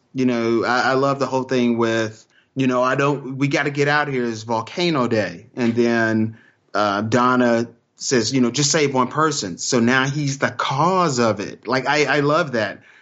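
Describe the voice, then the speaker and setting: Speaking with a Texan accent, a man uses medium pitch, moderate pace, and ordinary pitch variation. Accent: Texan American English. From Texas. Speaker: podcaster. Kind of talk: casual chat.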